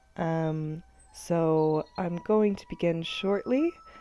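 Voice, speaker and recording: There is music in the background. A woman speaks at a fairly low pitch with ordinary pitch variation. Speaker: student society member. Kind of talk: casual talk to camera.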